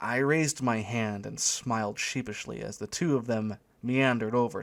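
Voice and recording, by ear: Reading aloud in a plain natural voice, with the usual rise and fall of pitch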